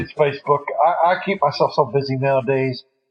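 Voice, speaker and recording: This man talks at a fairly slow pace with a Texan accent and a medium pitch. His voice is somewhat breathy, with ordinary pitch variation. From Texas. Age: 50s. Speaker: Navy veteran. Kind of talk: podcast interview answer.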